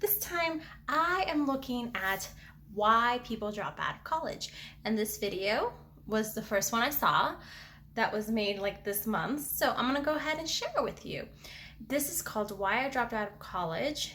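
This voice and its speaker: There is noticeable background noise as a woman speaks at a fairly high pitch. Her intonation is lively. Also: moderate pace. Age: 20s. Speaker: student and video reactor. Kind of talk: reaction video commentary. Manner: animated.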